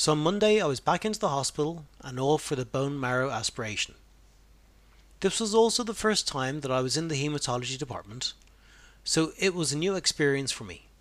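On a very clean recording with a silent background, a man with an Irish accent and fairly high pitch talks at a fairly quick pace with lively intonation. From Ireland. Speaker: podcaster sharing personal cancer experience. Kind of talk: personal narration.

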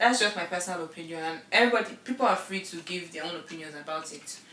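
Noticeable background noise sits behind a woman's voice. She speaks very fast in an animated tone. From Nigeria. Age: young. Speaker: podcast co-host. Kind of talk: casual chat.

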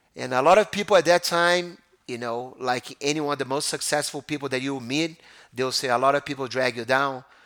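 A man with a Brazilian accent speaks at a fairly quick pace, his pitch fairly high with ordinary variation. The recording is very clean, with a silent background. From Rio de Janeiro, Brazil. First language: Portuguese. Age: 40s. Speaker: jiu-jitsu school owner. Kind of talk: casual interview. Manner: halting, with fillers.

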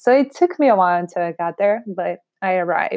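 The speaker has a Portuguese accent and keeps a moderate pace. The recording is very clean with a silent background and a dry, close sound with no echo. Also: woman. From Brazil. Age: 30s. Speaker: podcast host and realtor. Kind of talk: casual monologue.

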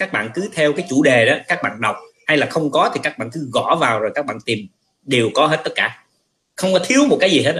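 A man talks at a fairly quick pace in a fairly high, bright and sharp voice with lively intonation. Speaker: spiritual teacher and livestream host. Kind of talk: casual talk, teaching. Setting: livestream.

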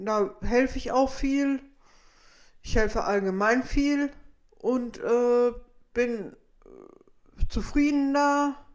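A woman's high-pitched voice with ordinary pitch variation, a very slow pace, and long, frequent pauses. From Petershagen, North Rhine-Westphalia. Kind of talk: interview. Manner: halting.

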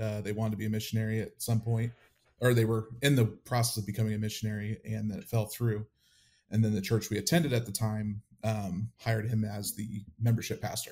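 A man's dark, mellow, somewhat breathy voice, fairly low in pitch, in a flat monotone, on a very clean recording with a silent background. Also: fairly quick pace. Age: 30s. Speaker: AV technician and former church drummer. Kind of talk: interview testimony.

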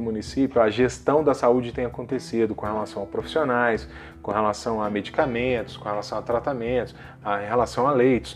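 A man's medium-pitched voice with fairly even intonation at a moderate pace. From Brazil, Minas Gerais (Juiz de Fora). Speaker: lawyer podcast host. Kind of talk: solo podcast monologue. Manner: hesitant, many fillers.

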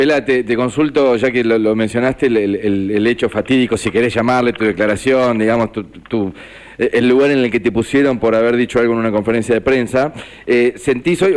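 Speaking at a fairly quick pace, a man with a Rioplatense accent uses a medium pitch. His pitch varies in an ordinary way. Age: 60s. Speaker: radio co-host. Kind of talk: radio interview.

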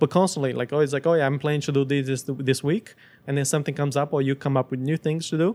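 Fairly high for a man, his voice comes with a Portuguese accent and fairly even intonation at a very fast pace. The sound is dry and close, with no echo. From Brazil. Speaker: startup founder. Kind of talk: interview. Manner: halting, many restarts.

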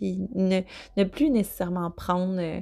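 In a clean recording with a silent background, a woman with a Quebec accent speaks at a fairly slow pace. Her tone is dark and mellow, at medium pitch. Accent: Québécois French. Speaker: intuitive eating coach, podcast host. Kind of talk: solo podcast monologue. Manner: hesitant, many fillers.

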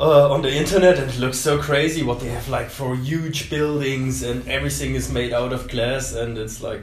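A man with a German accent, medium pitch and ordinary pitch variation, at a moderate pace, amid noticeable background noise and audible room echo. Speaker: tattoo studio host. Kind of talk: casual interview.

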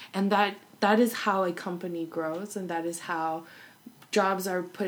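A woman with an American accent talks at a medium pitch and a moderate pace. Her intonation is fairly even, and there is audible room echo. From Arkansas and Los Angeles. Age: 20s. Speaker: visual artist. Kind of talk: casual chat.

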